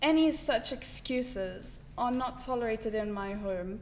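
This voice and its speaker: A woman's fairly high voice at a very slow pace, with fairly even intonation and noticeable background noise. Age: 20s. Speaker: patient advocate living with TSC. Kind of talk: personal testimony talk.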